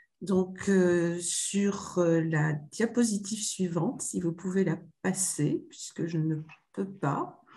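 A woman speaks at a very slow pace, her pitch fairly low with ordinary variation. The background is quiet. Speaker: medical professor. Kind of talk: conference presentation. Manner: halting. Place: office. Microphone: video call.

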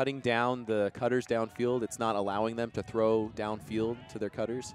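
At a moderate pace, a man speaks with a medium pitch in an unremarkable speaking voice. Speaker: sports commentator. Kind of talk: live sports commentary.

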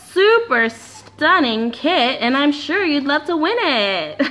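A woman's enthusiastic, put-on character voice, high-pitched with very wide pitch swings, at a fairly slow pace. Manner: bright, showy, enthusiastic.

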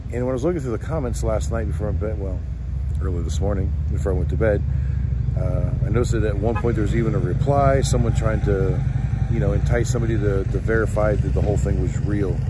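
A man talks very fast with ordinary pitch variation over loud background noise. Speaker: vendor vlogger. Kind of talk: casual vlog chat. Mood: earnest, slightly annoyed. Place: street. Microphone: phone near.

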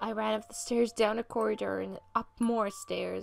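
A woman keeps a moderate pace while music plays behind her. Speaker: fanfiction reader. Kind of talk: read story. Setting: home studio microphone. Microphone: studio mic.

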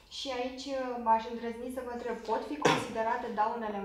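A woman's fairly high-pitched voice with audible room echo and light background noise. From Romania. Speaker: lawyer interviewer. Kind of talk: formal interview. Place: office. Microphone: camera far.

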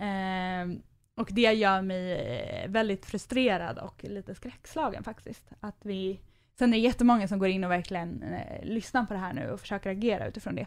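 In a very clean recording with a silent background, a woman uses an ordinary speaking voice at a medium pitch, with ordinary pitch variation, a moderate pace and big swings in loudness. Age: 20s. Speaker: nonprofit youth mental health worker. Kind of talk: casual interview. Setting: studio.

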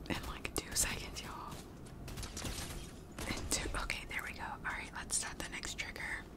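Long, frequent pauses against loud background noise. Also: moderate pace. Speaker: gaming content creator. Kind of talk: casual ASMR gaming talk to camera. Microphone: studio mic.

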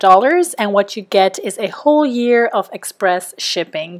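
Against a quiet background, a woman talks at a moderate pace with very wide pitch swings. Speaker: online shopping vlogger. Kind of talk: casual talk to camera. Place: home room.

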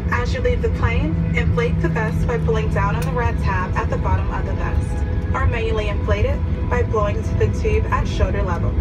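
A woman talks at a fairly quick pace. Music plays clearly in the background. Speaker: airline safety announcer. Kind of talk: safety announcement. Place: plane.

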